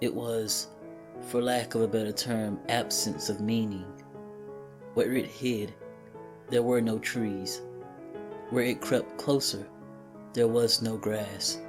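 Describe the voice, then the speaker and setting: With music in the background, a man at a medium pitch talks at a very slow pace with long, frequent pauses and ordinary pitch variation. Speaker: creepypasta narrator. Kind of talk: horror story narration.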